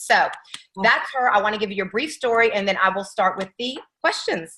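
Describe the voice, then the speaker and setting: A woman speaks with a slight Atlanta accent. Her pitch sits in the medium range, and her intonation is lively. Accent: slight Atlanta twang. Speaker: team leader hosting call. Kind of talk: interview on team call. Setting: video call.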